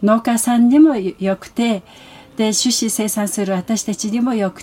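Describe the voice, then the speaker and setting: Noticeable background noise surrounds a woman speaking. She has a fairly high pitch and a moderate pace. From Mongolia. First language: Mongolian (speaking Japanese). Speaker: international exchange program coordinator. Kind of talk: interview.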